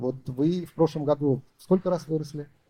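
The tone is dark and mellow. Speech comes at a moderate pace. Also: man. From Uzbekistan. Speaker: entrepreneur. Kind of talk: business consultation.

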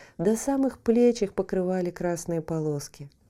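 What you hear is an unforced reading voice.

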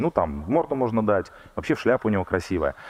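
A man's voice with very wide pitch swings. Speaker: archaeologist. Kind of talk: public lecture. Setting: stage with audience.

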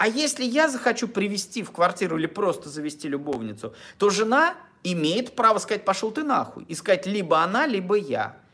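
A raised, projected voice at a fairly quick pace, full of very wide pitch swings. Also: man, high pitch for a man. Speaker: relationship blogger. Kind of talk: monologue to camera. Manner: halting.

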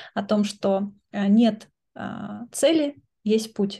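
A woman's somewhat breathy voice, fairly high-pitched, with a dark, mellow tone and ordinary pitch variation. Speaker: educational coach and philosophy lecturer. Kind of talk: interview.

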